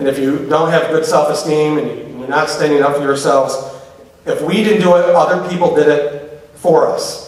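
This man has a fairly high pitch and a passionate tone, with fairly even intonation. He talks at a moderate pace, and room echo is audible. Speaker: public speaker on LGBTQ issues. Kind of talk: live lecture to audience. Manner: humorous, passionate. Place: hall. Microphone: podium.

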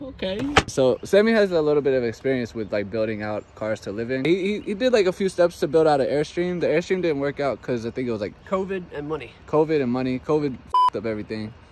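A man talks at a very fast pace. The sound is dry with no echo, and there is noticeable background noise. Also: hardly any pauses. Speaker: vlogger. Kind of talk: casual vlog chat. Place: street. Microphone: phone near.

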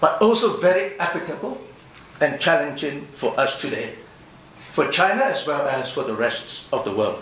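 In a room with audible echo and light background noise, a man talks at a moderate pace. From overseas Chinese community. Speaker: professor. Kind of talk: conference response speech. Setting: conference hall with audience. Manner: formal. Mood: measured, thoughtful. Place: hall. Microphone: podium.

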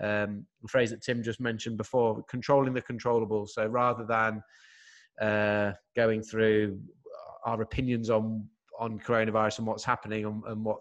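This man's intonation is monotone and flat, set over a quiet background. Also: moderate pace. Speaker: podcast host. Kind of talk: podcast host introduction. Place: home room. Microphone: studio mic.

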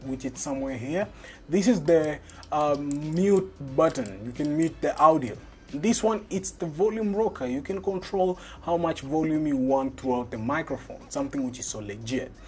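The speaker talks at a moderate pace. Faint music can be heard in the background. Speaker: tech reviewer. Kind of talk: unboxing commentary. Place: home room.

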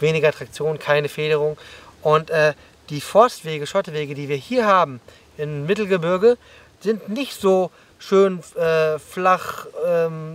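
Speaking at a fairly slow pace, a man uses ordinary pitch variation in a dry recording with no echo. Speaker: mountain bike coach. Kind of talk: explanatory vlog commentary. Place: open country.

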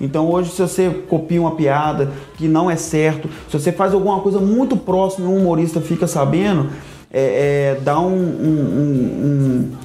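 In a room with audible echo, a man with a fairly high pitch talks at a fairly slow pace with ordinary pitch variation. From Belo Horizonte, Brazil. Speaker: stand-up comedian. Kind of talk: casual interview chat. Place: studio. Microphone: lapel.

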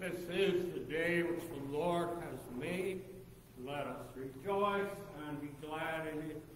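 A man's very slow voice with fairly even intonation, audible room echo, and light background noise. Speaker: pastor. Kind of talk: service greeting and announcements. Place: church. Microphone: camera far.

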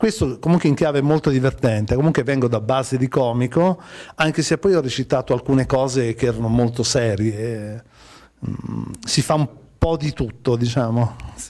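Over a quiet background, a man speaks at medium pitch in a dark, mellow tone, with ordinary pitch variation. His pace is moderate, broken by long, frequent pauses. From Liguria, Italy (Imperia); Liguria. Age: 40s. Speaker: actor and comedian; actor, comedian. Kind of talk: TV interview. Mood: cheerful, relaxed. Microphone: handheld.

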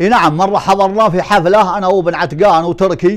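High-pitched male speech over a quiet background. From Saudi Arabia, Bedouin desert near Umm al-Dum; Saudi Arabia. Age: 60s. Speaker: poet. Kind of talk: interview. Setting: at home. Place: home room. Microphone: lapel.

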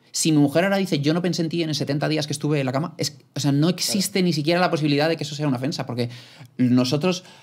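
Against a quiet background, a man speaks at a very fast pace with a fairly high pitch and fairly even intonation. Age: 20s. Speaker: podcast host, young father; podcast guest. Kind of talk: casual chat. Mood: earnest, reflective storytelling. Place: studio. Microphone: studio mic.

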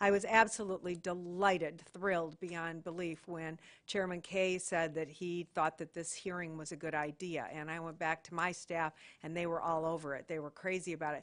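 Against a quiet background, a woman with an American accent speaks at a moderate pace in a monotone, flat manner. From Michigan. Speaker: government commissioner. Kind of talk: public hearing questioning.

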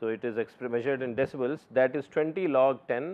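A man's speech moves at a moderate pace and shows ordinary pitch variation. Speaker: lecturer. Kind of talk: lecture. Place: studio. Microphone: lapel.

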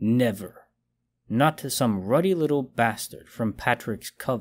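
In a put-on character voice with a menacing tone and hissing, a man speaks at a medium pitch with ordinary pitch variation and a fairly slow pace, on a very clean recording with a silent background. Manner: hissing through clenched teeth; menacing, bitter.

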